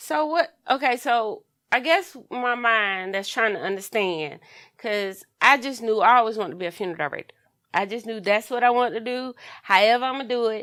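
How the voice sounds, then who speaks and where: A woman talks at a fairly quick pace in a fairly high pitch, with a bright, sharp tone and lively intonation. The recording is very clean and the background silent. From US South, North Myrtle Beach, South Carolina. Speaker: podcast co-host, funeral director. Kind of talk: casual chat.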